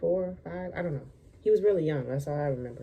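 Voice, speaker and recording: Her voice is very deep and low for a woman, somewhat breathy, with a dark, mellow tone and ordinary pitch variation. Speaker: lifestyle vlogger. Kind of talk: storytime vlog. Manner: casual, halting.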